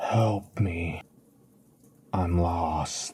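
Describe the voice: A quiet whispering man.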